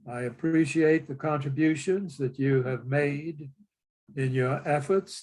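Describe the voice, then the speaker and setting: The voice has a dark, mellow tone and fairly even intonation. It moves at a very slow pace. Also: man. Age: 90s. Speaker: retired coach. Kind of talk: interview conversation. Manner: formal.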